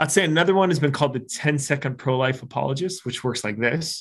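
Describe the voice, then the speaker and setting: With an American accent and an unremarkable speaking voice, a man talks fairly quickly at a fairly high pitch with ordinary pitch variation over a quiet background. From Arizona. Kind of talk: interview.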